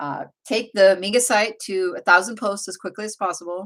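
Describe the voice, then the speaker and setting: A woman speaks at a moderate pace and medium pitch with an American accent. The recording is very clean, with a silent background. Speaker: blogger and livestream host. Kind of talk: casual livestream chat. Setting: livestream.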